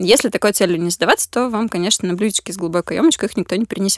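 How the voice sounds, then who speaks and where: A woman speaks at a medium pitch with lively intonation, recorded with a dry, close sound and no echo. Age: 20s. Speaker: social psychologist at a charity. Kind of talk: casual interview. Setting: studio.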